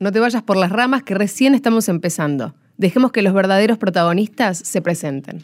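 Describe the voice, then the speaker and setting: In a Rioplatense accent, a woman talks at a fairly quick pace. Her medium-pitched voice holds a very even loudness. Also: lively intonation. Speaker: podcast host. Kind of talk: scripted narration.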